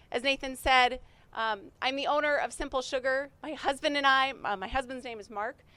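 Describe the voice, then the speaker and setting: A raised, projected voice with a bright, sharp tone carries ordinary pitch variation. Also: woman. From North Dakota. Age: 30s. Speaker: small business owner. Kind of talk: pitch presentation to audience. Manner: fast.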